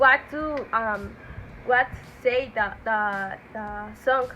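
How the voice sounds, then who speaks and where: A woman's fairly high voice with a Spanish accent. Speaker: English language student. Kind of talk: personal monologue. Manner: halting, many fillers.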